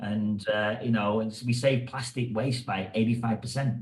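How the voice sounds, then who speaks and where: A man with an English accent, medium pitch, monotone, flat intonation and a somewhat breathy sound. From England. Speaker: hairdresser and educator. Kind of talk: podcast interview.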